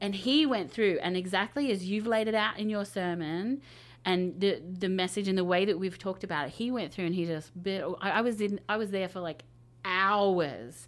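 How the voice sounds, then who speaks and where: On a very clean recording with a silent background, a woman speaks at a moderate pace in a normal speaking voice of medium pitch with ordinary pitch variation. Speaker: media pastor. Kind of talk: panel discussion.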